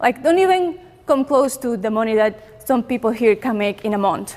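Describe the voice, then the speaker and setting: A fairly high-pitched woman with a Spanish accent, amid noticeable background noise. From Peru. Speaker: content creator. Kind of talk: talk to audience.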